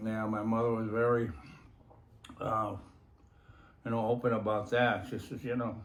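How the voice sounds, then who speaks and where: A man speaks at a moderate pace with long, frequent pauses and audible room echo. His pitch is medium and his intonation monotone and flat. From US East Coast, Connecticut. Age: 70s. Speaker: war veteran. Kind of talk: interview.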